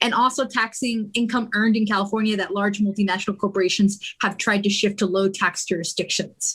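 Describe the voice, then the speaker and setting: Fairly quick speech comes in a somewhat breathy voice with fairly even intonation. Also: woman. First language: Spanish. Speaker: political club member presenting bills. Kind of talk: meeting presentation. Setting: livestreamed meeting.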